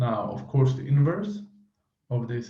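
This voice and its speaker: With audible room echo, a somewhat breathy speaker with a dark, mellow tone and a non-native accent talks at a moderate pace. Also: man. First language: not English. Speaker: mental health vlogger. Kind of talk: unscripted monologue. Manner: halting, many fillers.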